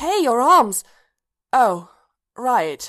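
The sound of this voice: Using a put-on character voice, a woman draws out her words at a very slow pace in a fairly high, bright, sharp tone with big pitch swings.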